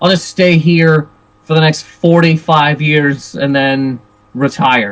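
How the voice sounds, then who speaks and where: Loud man's voice. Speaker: stand-up comedian. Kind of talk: casual chat. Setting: video podcast interview. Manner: fast.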